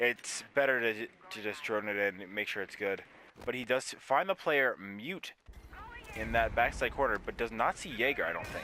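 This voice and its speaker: Noticeable background noise runs behind the recording. A man speaks at a medium pitch with lively intonation. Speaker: esports caster. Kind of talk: live commentary. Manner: stuttering at times; fast-paced play-by-play.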